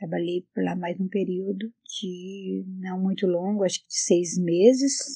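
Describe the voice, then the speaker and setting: In a dry, close recording with no echo, a woman with a dark, mellow, somewhat breathy voice at medium pitch speaks at a very slow pace with ordinary pitch variation. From Brazil, northern Paraná countryside. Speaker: retired seamstress. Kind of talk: personal life testimony. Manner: halting.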